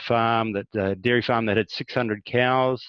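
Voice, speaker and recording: A man is speaking. He has a New Zealand accent. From rural New Zealand. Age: 60s. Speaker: farmer. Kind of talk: interview.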